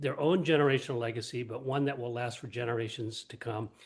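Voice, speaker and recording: Against a quiet background, a man with a somewhat breathy voice talks at a moderate pace, medium pitch and fairly even intonation. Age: 70s. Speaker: lifestyle medicine coach. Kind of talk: self-introduction in group chat.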